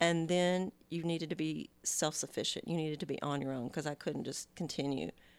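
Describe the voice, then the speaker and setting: Very deep, low-pitched woman at a fairly quick pace with fairly even intonation and hardly any pauses, in a very clean recording with a silent background. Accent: Texas. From Texas. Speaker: mother of the host. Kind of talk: casual chat.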